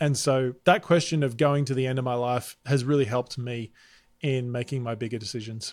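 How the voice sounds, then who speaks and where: This man has an Australian accent and speaks at a fairly quick pace with fairly even intonation. The recording is very clean, with a silent background. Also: medium pitch for a man. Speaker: presentation and sales coach, keynote speaker. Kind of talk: podcast interview.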